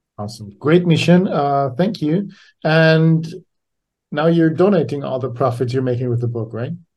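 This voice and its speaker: A man speaks in a fairly high pitch, somewhat breathy. His pace is moderate and his pitch variation ordinary. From Austria. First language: German. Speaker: podcast host. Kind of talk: interview, casual chat.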